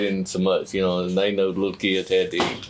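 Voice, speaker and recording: In a Southern US accent, a man speaks at a moderate pace with a fairly low pitch. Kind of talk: interview. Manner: halting.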